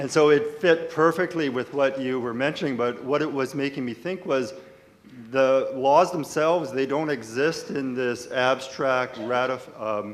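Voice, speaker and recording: A man with a Canadian accent at medium pitch and a fairly slow pace, with ordinary pitch variation, noticeable background noise and audible room echo. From rural Manitoba, Canada. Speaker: lawyer asking a question from the audience. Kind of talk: audience question at a conference panel. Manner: halting, with self-corrections.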